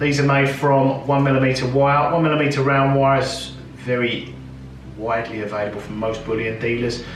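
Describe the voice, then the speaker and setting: The man's voice is fairly high, with ordinary pitch variation, at a fairly quick pace. Noticeable background noise and audible room echo surround him. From South London, England. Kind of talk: tutorial. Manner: casual, with filler ums.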